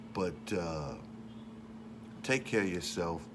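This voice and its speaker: Against noticeable background noise, a man speaks in a very deep, low voice with a relaxed tone. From Detroit, US. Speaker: rapper and vlogger; vlogger. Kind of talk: casual monologue. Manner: casual, relaxed. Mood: relaxed, opinionated.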